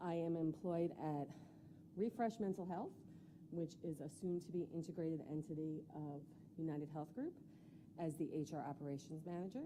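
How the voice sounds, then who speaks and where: A woman talks at a moderate pace in a fairly low pitch. Her pauses are long and frequent. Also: ordinary pitch variation. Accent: New York. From New York. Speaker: school board candidate. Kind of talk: candidate interview. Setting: public board meeting.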